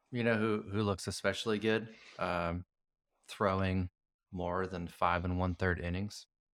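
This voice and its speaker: On a very clean recording with a silent background, a man with a very deep, low voice speaks fairly slowly and fairly evenly, with long, frequent pauses. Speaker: sports podcast host. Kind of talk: casual chat.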